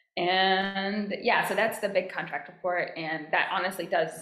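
Amid audible room echo, a woman with an American accent speaks at medium pitch, at a fairly slow pace, with fairly even intonation. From US, DC metro area. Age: 20s. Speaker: marine data and sightings coordinator. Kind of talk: casual interview.

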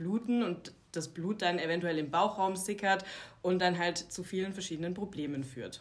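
A woman's medium-pitched, plain, everyday voice at a moderate pace, with ordinary pitch variation. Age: 30s. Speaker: naturopath for women's health. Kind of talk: casual interview chat.

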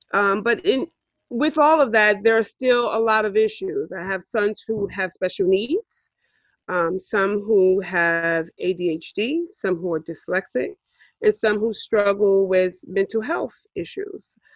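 Heard in a dry, close sound with no echo, a woman with a New York accent speaks at a very slow pace with a medium pitch and lively intonation. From New York City, Harlem. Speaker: podcast host, parent advocate. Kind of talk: casual podcast introduction.

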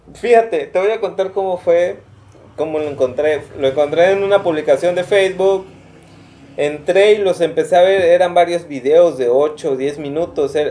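Speaking at a moderate pace in a Mexican accent, a man with a high voice shows ordinary pitch variation. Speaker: podcast co-host. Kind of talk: casual chat; reading aloud.

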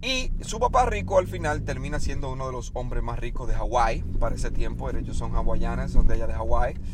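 A man talks in an animated tone with hardly any pauses. Room echo is audible, and background noise is noticeable. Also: fairly quick pace. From Dominican Republic. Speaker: weight-loss podcaster. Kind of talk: motivational monologue. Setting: in a car.

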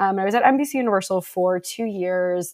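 Here a woman talks in an ordinary speaking voice. Her pitch is medium, with ordinary pitch variation. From Buffalo, New York. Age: 20s. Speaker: recruiter and fiction writer. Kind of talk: interview conversation.

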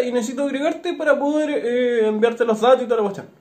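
A man rattles along at a very fast pace while noticeable background noise runs underneath. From northern Chile, Iquique. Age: 20s. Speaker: podcast co-host. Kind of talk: casual chat.

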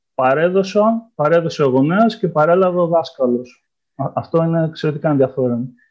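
In a plain, everyday voice, a man talks at a moderate pace with a fairly high pitch, ordinary pitch variation and very even loudness. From Greece, Ioannina. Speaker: historian, postdoctoral researcher. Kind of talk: interview.

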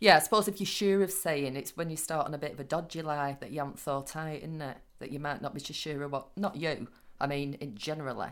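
In a very clean recording with a silent background, a woman talks at a very fast pace with a very deep, low pitch. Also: ordinary pitch variation. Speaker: co-host. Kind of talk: casual chat.

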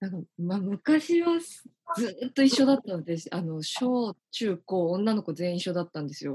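Close and dry with no echo, a woman's plain, everyday voice at medium pitch moves at a moderate pace with big swings in loudness. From Hyogo, Japan. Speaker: branding consultant. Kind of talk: interview.

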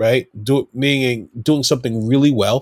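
A man with an American accent has a plain, everyday voice at a medium pitch, speaking at a moderate pace on a very clean recording with a silent background. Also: dry, close sound with no echo. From Brooklyn, New York. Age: 40s. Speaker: hip-hop artist. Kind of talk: casual interview.

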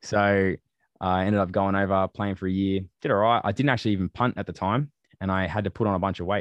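In an Australian accent, a man speaks at a fairly quick pace and fairly low pitch, with a dry, close sound, no echo and a quiet background. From Australia, western suburbs of Melbourne. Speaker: athlete and student. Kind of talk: interview conversation.

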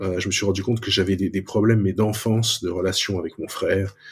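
A man is speaking here. His voice is fairly low and somewhat breathy. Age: 40s. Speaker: software designer and product manager. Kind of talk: testimony. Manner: halting.

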